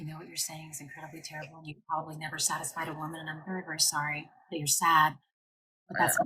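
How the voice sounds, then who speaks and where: In a put-on character voice, a woman whispers at a very fast pace, raspy and with big swings in loudness. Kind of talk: soft ASMR style. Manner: whispering.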